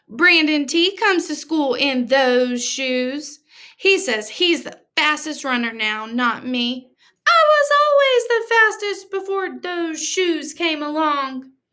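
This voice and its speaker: Putting on a squeaky character voice, a woman speaks at a high pitch with very wide pitch swings and a fairly slow pace. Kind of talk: classroom read-aloud. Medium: read story. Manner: warm, conversational, encouraging.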